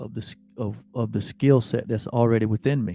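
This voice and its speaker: Music plays in the background as a man speaks at medium pitch in a monotone, flat delivery. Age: 60s. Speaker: spiritual teacher. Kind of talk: spiritual talk. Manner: halting, many fillers and repetitions.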